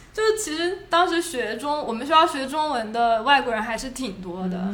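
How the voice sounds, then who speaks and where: A woman with a high pitch and very wide pitch swings speaks at a moderate pace, with noticeable background noise and audible room echo. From Shenzhen, China. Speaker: former international student. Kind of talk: casual chat.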